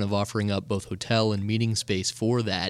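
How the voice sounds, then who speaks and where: A man's fairly low, monotone, flat voice in a very clean recording with a silent background. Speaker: podcast host. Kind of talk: interview conversation.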